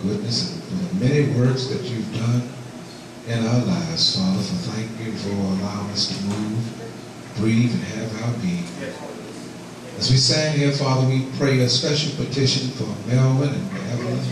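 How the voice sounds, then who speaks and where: A man at a moderate pace with long, frequent pauses, strong room echo, and noticeable background noise. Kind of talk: prayer. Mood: reverent, fervent. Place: church.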